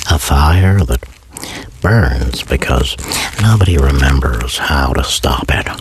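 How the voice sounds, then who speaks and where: A very deep, low-pitched man in a calm tone, very slow with long, frequent pauses, lively intonation, very even loudness and noticeable background noise. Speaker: voice performer / ASMR creator. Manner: slow, calm, reflective, with long pauses.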